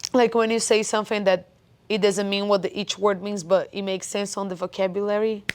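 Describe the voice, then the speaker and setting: A woman's medium-pitched voice in a Portuguese accent, fairly quick and flat, monotone in delivery. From Brazil. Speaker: coach. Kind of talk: casual chat.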